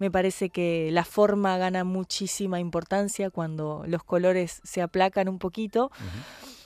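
Speaking at a fairly slow pace with hardly any pauses, a woman with a Rioplatense accent uses a medium pitch and fairly even intonation, heard in a dry, close sound with no echo. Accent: Argentine Spanish (rioplatense). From Argentina. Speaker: tango singer. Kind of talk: interview.

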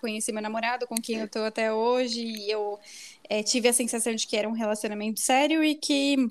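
Her pitch fairly high, a woman speaks with monotone, flat intonation. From São Paulo, Brazil. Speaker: marketing professional. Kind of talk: casual chat.

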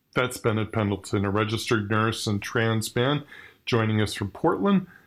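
Here a man speaks in a plain, everyday voice of medium pitch with ordinary pitch variation. The recording is very clean, with a silent background. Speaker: podcast host. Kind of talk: scripted intro and interview hosting. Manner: formal.

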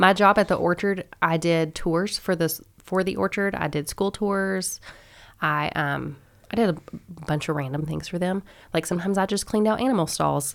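On a very clean recording with a silent background, a woman with an American accent and an unremarkable speaking voice talks at a moderate pace, her fairly low pitch showing ordinary variation. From Kentucky, US South (Owensboro). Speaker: small business owner. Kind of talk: casual interview.

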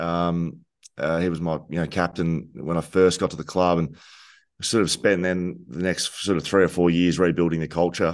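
Over a quiet background, a man with an Australian accent speaks at a moderate pace. His very deep, low voice is monotone and flat. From Victoria, Australia (Geelong). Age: 30s. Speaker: former footballer and podcaster. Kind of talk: casual chat.

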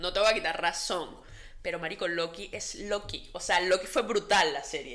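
Delivered at a moderate pace, the bright, sharp voice shows ordinary pitch variation. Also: woman, medium pitch for a woman. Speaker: podcast co-host. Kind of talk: casual chat.

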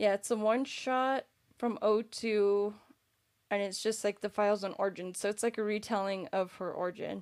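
Monotone, flat intonation from a woman at medium pitch and moderate pace, on a very clean recording with a silent background. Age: 30s. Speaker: podcast co-host. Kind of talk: casual chat. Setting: live stream.

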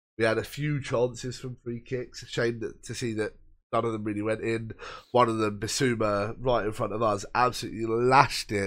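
Talking at a fairly quick pace, a man with a southern English accent keeps a medium pitch and a monotone, flat delivery. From Brighton area, England. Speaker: football podcast co-host. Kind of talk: casual chat.

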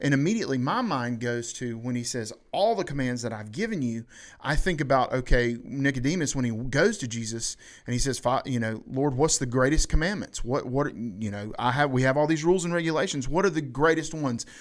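In a Southern US accent, a man talks at a fairly quick pace with a medium pitch and lively intonation, on a very clean recording with a silent background. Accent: US South. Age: 30s. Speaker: podcast host. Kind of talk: casual chat.

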